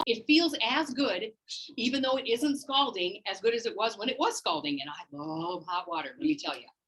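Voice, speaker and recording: Speaking at a fairly high pitch, a woman sounds animated, with very wide pitch swings, vocal fry and big swings in loudness. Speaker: wellness class instructor. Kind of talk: live class teaching. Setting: in-person class also on Zoom. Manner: fast.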